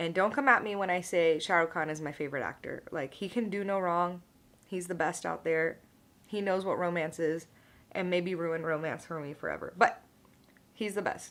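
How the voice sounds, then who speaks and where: A woman has an ordinary speaking voice, fairly low in pitch, with ordinary pitch variation. She keeps a moderate pace on a very clean recording with a silent background. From United States, Indian-American. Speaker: vlogger, pharmacist. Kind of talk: casual chat, get ready with me vlog.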